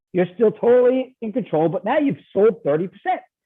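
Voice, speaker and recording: An animated man with a New York accent, lively intonation and a fairly quick pace. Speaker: ESOP investment banker. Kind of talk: podcast interview. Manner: fast.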